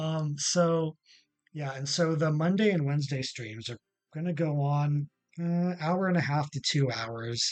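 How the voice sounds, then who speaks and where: A man with a North American accent and a fairly high pitch, music in the background. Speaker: gaming YouTuber and streamer. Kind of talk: casual gaming explainer. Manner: hesitant, many fillers.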